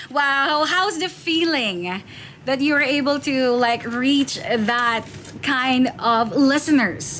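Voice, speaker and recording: A high-pitched woman's voice at a very slow pace, lively in intonation and very even in loudness, amid noticeable background noise. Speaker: radio DJ. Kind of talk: radio interview.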